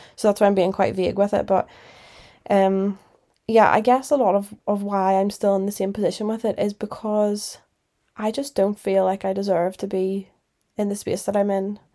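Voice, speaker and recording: Her voice is a woman's at medium pitch, with a dark, mellow tone. She keeps a moderate pace and a monotone, flat intonation. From Northern Ireland. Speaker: podcast host. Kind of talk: solo podcast monologue, casual chat. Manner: casual, chatty, reflective.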